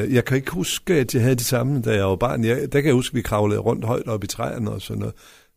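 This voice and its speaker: A man talks at a very fast pace with vocal fry. His pitch sits in the medium range and varies in an ordinary way. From West Jutland, Denmark. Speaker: local politician, mayoral candidate. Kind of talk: radio interview. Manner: halting, many fillers.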